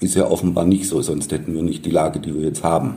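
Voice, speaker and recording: Audible room echo rings around a man whose intonation stays fairly even. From Baden-Württemberg, near Stuttgart. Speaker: journalist. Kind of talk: interview.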